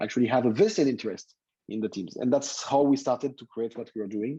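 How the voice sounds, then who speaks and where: Speaking with a French accent, a man has a medium pitch, a dark, mellow tone and ordinary pitch variation. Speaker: tech entrepreneur, company founder. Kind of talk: guest talk to students.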